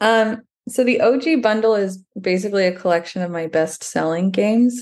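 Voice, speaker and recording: A woman with a plain, everyday voice and an American accent speaks at a moderate pace and medium pitch, with ordinary pitch variation and a quiet background. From Texas, Dallas. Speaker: piano teacher. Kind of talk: interview.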